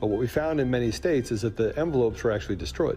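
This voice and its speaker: Music can be heard behind the speech. The male speaker's pitch swings very widely. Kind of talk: explanatory talk about election systems.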